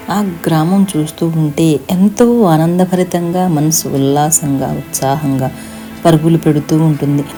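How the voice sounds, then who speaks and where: Music plays in the background. Over it, a woman speaks in a very deep, low pitch. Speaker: storyteller narrator. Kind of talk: moral story narration.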